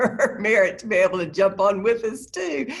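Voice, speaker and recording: This woman talks with a Southern US accent. Her pitch varies in an ordinary way, and her pace is moderate. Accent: Southern twang. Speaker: church women's minister. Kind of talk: webinar panel discussion.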